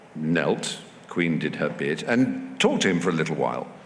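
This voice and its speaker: Lively intonation at a fairly slow pace, in an English accent. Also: man. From England. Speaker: comedian, actor, writer. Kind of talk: live festival talk, anecdote.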